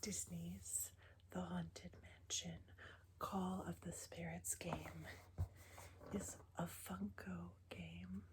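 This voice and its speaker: Whispering and soft-spoken, a woman talks at a very slow pace in a somewhat breathy voice, leaving long, frequent pauses. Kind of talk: ASMR board game show-and-tell. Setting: lo-fi ASMR recording. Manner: whispered, soft-spoken.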